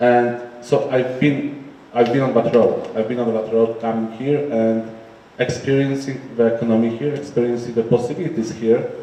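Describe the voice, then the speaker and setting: A man in a Polish accent talks at a fairly quick pace amid noticeable background noise and audible room echo. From Poland. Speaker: entrepreneur. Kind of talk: panel discussion. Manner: halting.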